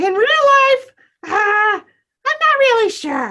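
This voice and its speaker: A woman puts on a character voice at an extremely high pitch. She talks at a very slow pace. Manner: excited, bubbly.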